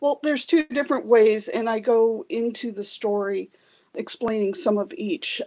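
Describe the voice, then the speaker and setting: A woman with an American accent uses an unremarkable speaking voice at a fairly high pitch, moderate pace and ordinary pitch variation, in a dry, close sound with no echo. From US, San Francisco Bay Area. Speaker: novelist. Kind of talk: interview.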